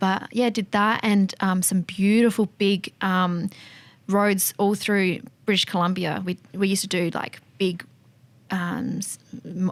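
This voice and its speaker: At a fairly slow pace, a woman with an Australian accent speaks in a medium pitch with monotone, flat intonation. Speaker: fuel tanker driver and motorcycle enthusiast. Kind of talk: casual chat.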